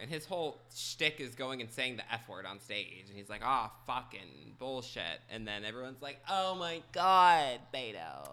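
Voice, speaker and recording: A man speaks at a moderate pace with hardly any pauses, his bright, sharp tone carrying vocal fry, very wide pitch swings and big jumps in loudness. The recording is very clean, with a silent background. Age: 20s. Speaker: podcast co-host. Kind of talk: casual chat. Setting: kitchen table.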